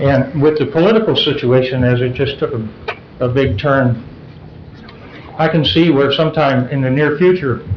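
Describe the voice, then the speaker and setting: A man speaks at a fairly high pitch with ordinary pitch variation and long, frequent pauses, over noticeable background noise and audible room echo. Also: moderate pace. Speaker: public commenter at council meeting. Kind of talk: public comment. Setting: council meeting. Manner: voice rises when excited.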